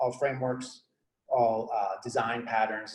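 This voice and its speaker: Audible room echo surrounds a man as he speaks. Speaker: software engineering manager giving a meetup talk. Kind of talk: conference talk. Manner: fast; casual with many fillers.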